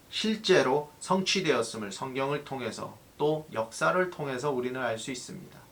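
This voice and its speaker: A man's fairly high-pitched voice with lively intonation at a moderate pace. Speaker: pastor. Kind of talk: sermon. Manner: halting, self-correcting.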